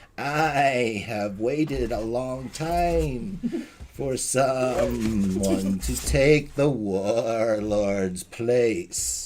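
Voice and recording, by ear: Putting on a character voice, a man speaks at a medium pitch. He goes at a very slow pace with hardly any pauses.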